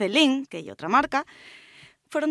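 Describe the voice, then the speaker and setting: In a very clean recording with a silent background, a woman with a high pitch speaks with lively intonation in a dry, close sound with no echo. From rural Asturias. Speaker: fashion columnist. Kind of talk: radio segment on fashion.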